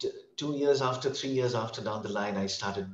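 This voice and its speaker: Somewhat breathy speech from a man, full of very wide pitch swings. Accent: American. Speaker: English tutor. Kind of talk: casual interview conversation.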